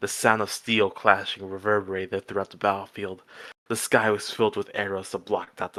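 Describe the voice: What you hear is plain reading aloud.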